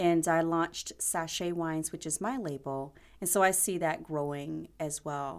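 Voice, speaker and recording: A woman with an American accent speaks at a moderate pace, her pitch fairly low and its variation ordinary. She has a plain, everyday voice, and the recording is very clean with a silent background. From South Carolina. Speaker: winery owner. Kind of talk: interview.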